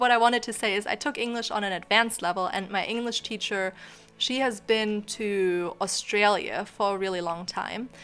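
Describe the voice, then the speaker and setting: With music in the background, a woman talks at a moderate pace. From Germany. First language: German. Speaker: YouTuber. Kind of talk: casual chat. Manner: rambling with many fillers.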